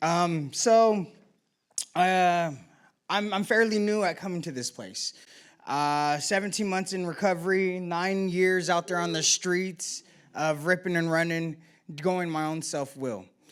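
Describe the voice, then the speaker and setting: This loud man has a high pitch with ordinary variation and speaks at a fairly slow pace. The recording is very clean, with a silent background. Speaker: member sharing at a recovery meeting. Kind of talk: personal testimony share.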